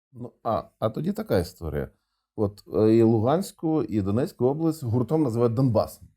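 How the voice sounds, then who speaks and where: On a very clean recording with a silent background, a man speaks with a Russian accent at a medium pitch and moderate pace. His tone is dark and mellow, with very wide pitch swings. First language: Russian (speaking Ukrainian). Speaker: interviewer. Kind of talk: interview.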